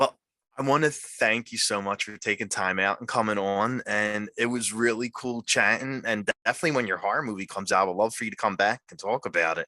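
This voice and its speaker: A bright, sharp voice with an American accent moves at a fairly quick pace with hardly any pauses, recorded with a dry, close sound and no echo. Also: man, medium pitch for a man, ordinary pitch variation. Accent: South Philly Italian. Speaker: podcast host. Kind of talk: casual chat.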